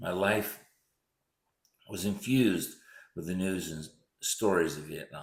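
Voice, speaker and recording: Audible room echo surrounds a man with a very deep, low pitch who speaks at a fairly slow pace with ordinary pitch variation. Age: 70s. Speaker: physician recounting memories. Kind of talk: personal essay narration.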